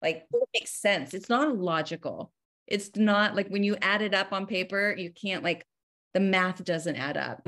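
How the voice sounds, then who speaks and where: Speaking at a moderate pace, a woman uses a plain, everyday voice with medium pitch and ordinary pitch variation. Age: 40s. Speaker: therapist and author. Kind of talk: interview conversation.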